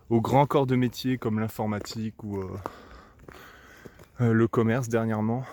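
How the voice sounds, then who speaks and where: A man's medium-pitched, monotone voice with flat intonation at a moderate pace, marked by long, frequent pauses. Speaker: vlogger. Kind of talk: casual vlog monologue. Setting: outdoors, walking by a road. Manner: hesitant, many fillers.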